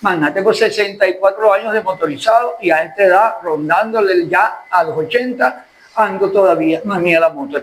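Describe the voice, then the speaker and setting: A man's high-pitched voice with lively intonation, a moderate pace and hardly any pauses, amid noticeable background noise. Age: 70s. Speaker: journalist and lawyer. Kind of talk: interview. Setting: restaurant.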